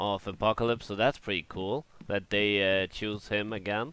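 A man's fairly low voice at a fairly slow pace, an ordinary speaking voice. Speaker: video game let's player. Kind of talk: gameplay commentary. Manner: rambling, filler-heavy.

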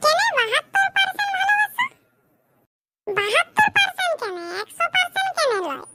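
With music in the background, a woman does a cartoonish character voice at an extremely high pitch, with lively intonation, a moderate pace, and a dry, close sound with no echo. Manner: teasing.

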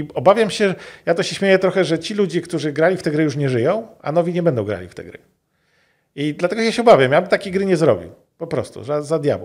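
A man's high-pitched voice at a very fast pace against a quiet background. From Poland. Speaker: game developer. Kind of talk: interview. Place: studio. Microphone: studio mic.

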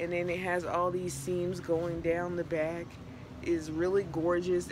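Noticeable background noise behind a woman's fairly slow speech. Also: dry sound with no echo. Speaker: fashion vlogger. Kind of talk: casual vlog chat. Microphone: phone near.

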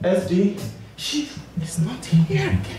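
A man talks with a high pitch. Strong room echo and noticeable background noise surround him. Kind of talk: stage banter to audience. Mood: warm, grateful. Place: stage.

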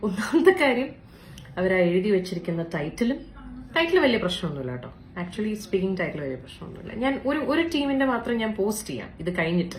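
A woman speaks fast at a medium pitch with big pitch swings, with audible room echo around her.

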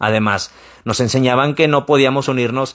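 A fairly quick pace against a quiet background. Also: man. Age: 30s. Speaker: YouTuber. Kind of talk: personal advice vlog. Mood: calm, reflective. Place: home room. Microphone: studio mic.

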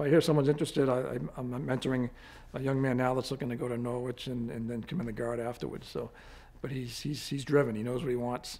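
Very fast and monotone, a man speaks at a medium pitch with a dark, mellow tone and flat intonation. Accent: Boston. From Quincy, Massachusetts; Massachusetts. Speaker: army general and state police officer. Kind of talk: interview. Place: office.

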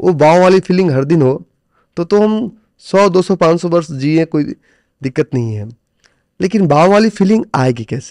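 With long, frequent pauses, a man speaks in a high voice with lively intonation, the sound dry with no echo over a quiet background. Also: fairly slow pace. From India. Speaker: stock trader and trading coach; podcast guest, coach. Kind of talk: interview conversation. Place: studio. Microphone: studio mic.

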